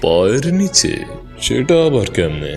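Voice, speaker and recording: A man's put-on character voice at medium pitch, with clear music in the background. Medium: fan dub. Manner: sneering, cocky.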